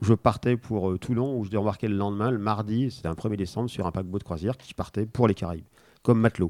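Fairly low in pitch and fairly quick, a man with an unremarkable speaking voice shows ordinary pitch variation on a very clean recording with a silent background. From France (arrived from Spain age one). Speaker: board game designer. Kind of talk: casual interview.

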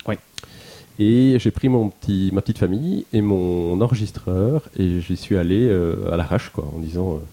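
A man with a dark, mellow tone, lively intonation and a moderate pace, in a dry, close sound with no echo. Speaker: game podcaster. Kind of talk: casual chat.

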